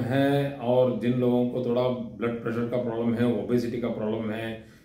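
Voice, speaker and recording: Against noticeable background noise and audible room echo, a man speaks at a medium pitch with fairly even intonation. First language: not Hindi (speaking Hindi). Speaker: astrology teacher. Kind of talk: lecture. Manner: halting, with fillers.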